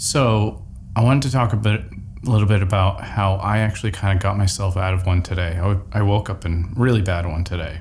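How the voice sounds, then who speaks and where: A man talks at a moderate pace in a fairly low voice with ordinary pitch variation. Noticeable background noise is present. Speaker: personal development vlogger. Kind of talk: personal vlog monologue.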